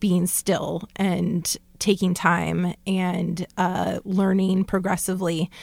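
Vocal fry from a woman on a very clean recording with a silent background. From Southern California. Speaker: podcast co-host, professor. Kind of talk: casual chat.

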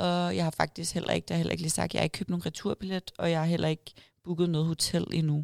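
A woman at a very fast pace, with a dry, close sound, no echo and a very clean recording with a silent background. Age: 20s. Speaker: bikini fitness athlete and online coach. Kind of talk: casual interview. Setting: event room at a restaurant.

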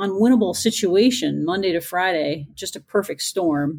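On a very clean recording with a silent background, a woman speaks in a normal speaking voice at a medium pitch. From Newfoundland, Canada. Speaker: pathologist and assistant professor. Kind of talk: casual interview.

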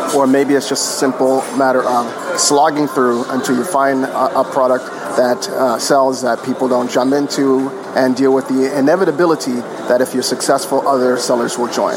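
At a moderate pace, a man speaks at a medium pitch with fairly even intonation and very even loudness. Audible room echo and noticeable background noise come through. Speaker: online seller. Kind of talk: voice message question. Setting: cafe.

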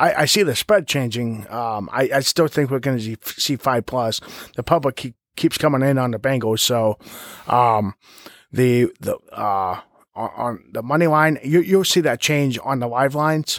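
In a very clean recording with a silent background and a dry, close sound without echo, a man with an American accent talks at medium pitch and moderate pace with ordinary pitch variation. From Ohio. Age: 30s. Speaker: podcast co-host. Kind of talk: casual sports betting chat. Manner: halting, many fillers.

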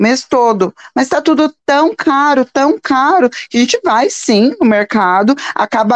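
The speech comes at a fairly slow pace, with a dry, close sound and no echo. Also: woman. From São Paulo, Brazil. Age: 40s. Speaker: entrepreneur and mother. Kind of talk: interview. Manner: halting.

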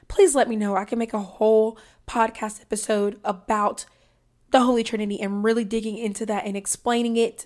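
Very cleanly recorded against a silent background, a woman with a Southern US accent and a fairly high pitch speaks at a moderate pace. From US Deep South. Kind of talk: religious teaching monologue.

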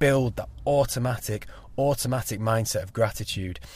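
A man at a medium pitch, somewhat breathy, with fairly even intonation. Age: 20s. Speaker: podcast host. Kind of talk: solo monologue. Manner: casual, hesitant with fillers.

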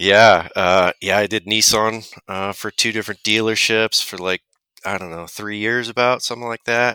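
A man with a fairly low pitch and a bright, sharp tone speaks at a moderate pace with fairly even intonation but big swings in loudness. The recording is very clean and dry, close with no echo, over a silent background. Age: 30s. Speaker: auto technician. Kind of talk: casual chat.

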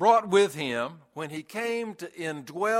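The speaker is reading aloud. It is in a natural voice.

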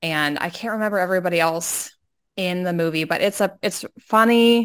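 On a very clean recording with a silent background, a woman talks in a normal speaking voice at a medium pitch and a fairly slow pace, with ordinary pitch variation. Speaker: podcast co-host. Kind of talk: casual chat.

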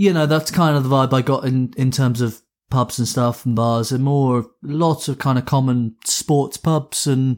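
The speaker has an English accent. Pitch varies in an ordinary way. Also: man. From England. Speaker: podcast co-host. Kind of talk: casual chat.

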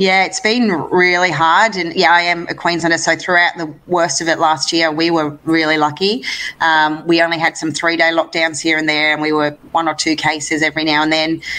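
With an Australian accent, a woman talks at a moderate pace with hardly any pauses, her fairly low voice flat and monotone. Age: 30s. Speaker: lawn bowls player. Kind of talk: interview.

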